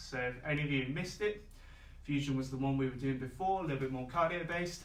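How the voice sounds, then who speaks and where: A man with a fairly high voice talks very fast with ordinary pitch variation, while noticeable background noise and audible room echo come through. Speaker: fitness instructor. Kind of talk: workout class instruction. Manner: calm, relaxed.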